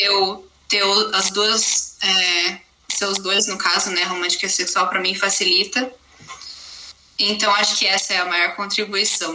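With noticeable background noise, a woman speaks at medium pitch and a fairly slow pace, in a monotone, flat intonation with long, frequent pauses. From Brazil, Campinas area (São Paulo interior). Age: 20s. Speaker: university student, podcast guest. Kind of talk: interview conversation.

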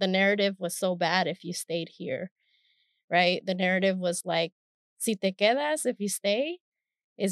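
Speech at a fairly slow pace with long, frequent pauses, ordinary pitch variation, and a dry, close sound with no echo. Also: woman. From Stockton, California (born in Mexico). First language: Spanish. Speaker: professor. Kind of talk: interview.

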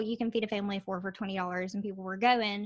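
A woman in a Southern US accent, medium in pitch, fairly even in intonation, on a very clean recording with a silent background. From Alabama. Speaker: video marketer and cooking YouTuber. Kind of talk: casual chat.

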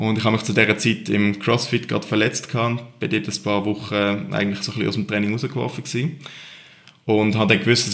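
A man's fairly low voice, very fast, with ordinary pitch variation and noticeable background noise. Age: 20s. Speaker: CrossFit athlete. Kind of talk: interview. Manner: calm.

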